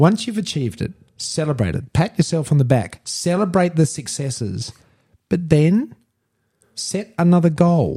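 Speaking at a moderate pace, a man with an Australian accent uses lively intonation and a dark, mellow tone. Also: fairly high pitch for a man. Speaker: podcast host, entrepreneur and former mayor. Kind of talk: casual self-help chat. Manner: emphatic, passionate.

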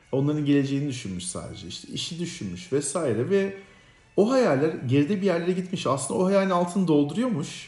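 In a room with audible echo, a man with a high pitch and a dark, mellow tone talks at a fairly quick pace with lively intonation. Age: 40s. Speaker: podcast co-host. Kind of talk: casual chat.

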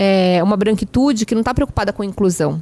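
A woman's medium-pitched, animated voice at a fairly quick pace, with ordinary pitch variation. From Brazil, São Paulo. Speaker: journalist and executive. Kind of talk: casual chat.

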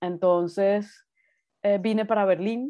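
A woman with a medium pitch speaks with fairly even intonation. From Colombia, Bogotá. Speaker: artist. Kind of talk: interview conversation. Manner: hesitant with fillers.

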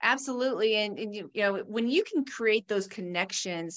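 A woman speaks at medium pitch and a moderate pace with ordinary pitch variation in a normal speaking voice, against a quiet background. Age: 50s. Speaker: pharmacist and fitness instructor. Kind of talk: casual interview chat.

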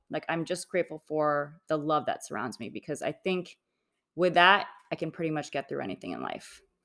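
Over a silent background in a very clean recording, a woman with a very deep, low pitch and vocal fry speaks at a fairly quick pace in a bright, sharp tone with ordinary pitch variation. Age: 40s. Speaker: real estate developer, former attorney. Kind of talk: personal interview. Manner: hesitant with frequent ums.

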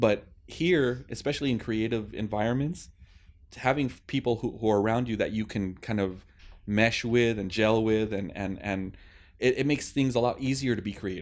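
A man with an ordinary speaking voice talks at a moderate pace in a medium pitch with ordinary pitch variation, the background quiet. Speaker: podcast co-host. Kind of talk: casual chat.

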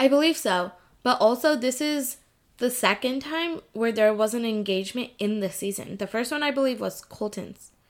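With a normal speaking voice, a woman of fairly high pitch talks at a moderate pace and ordinary pitch variation. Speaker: podcast host. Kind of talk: casual chat.

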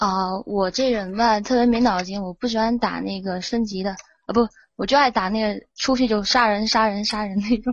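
Here a woman speaks at a moderate pace with a fairly high pitch. Her intonation stays fairly even. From Guizhou, Guiyang. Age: young. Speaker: caller. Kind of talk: casual chat.

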